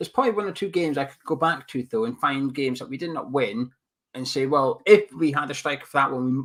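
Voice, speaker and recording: A man rushes along at a very fast speed, the recording very clean and the background silent. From Scotland. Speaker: football podcast co-host. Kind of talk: casual chat.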